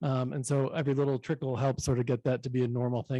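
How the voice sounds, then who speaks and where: Talking at a very fast pace, a man has a dark, mellow tone, recorded dry and close with no echo over a quiet background. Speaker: city manager. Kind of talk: conference presentation.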